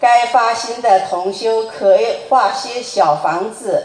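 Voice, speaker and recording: The delivery is very slow. Noticeable background noise runs underneath. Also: woman. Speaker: representative of a Buddhist study group asking questions. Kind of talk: reading prepared questions aloud.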